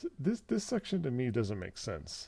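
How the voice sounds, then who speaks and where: A man with a dark, mellow, somewhat breathy voice speaks at a moderate pace with very wide pitch swings on a very clean recording with a silent background. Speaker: live streamer demonstrating synth sound design. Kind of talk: live stream tutorial. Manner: soft-spoken, talking low.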